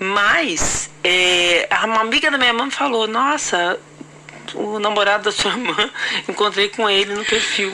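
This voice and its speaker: Noticeable background noise sits under a woman's voice at a medium pitch. She talks at a fairly slow pace. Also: ordinary pitch variation. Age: 50s. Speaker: podcast host. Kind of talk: casual chat.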